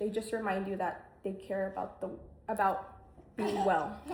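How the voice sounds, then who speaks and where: Noticeable background noise behind a woman's fairly quick delivery. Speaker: student. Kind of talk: class speech. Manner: fast; halting.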